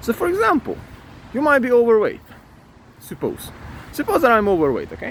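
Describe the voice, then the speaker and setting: Speaking with a non-native accent, a man uses an extremely high pitch and very wide pitch swings, moving at a fairly quick pace broken by long, frequent pauses. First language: not English. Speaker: self-improvement vlogger. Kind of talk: motivational talk to camera. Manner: animated; halting.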